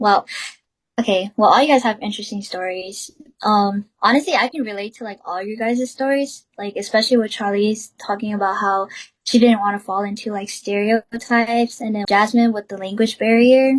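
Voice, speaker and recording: Spoken with a Southeast Asian accent at a moderate pace, the voice keeps a fairly even intonation while its loudness swings widely. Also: woman, fairly high pitch for a woman. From US, Hmong American family. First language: Hmong. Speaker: student podcast host. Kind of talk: casual discussion.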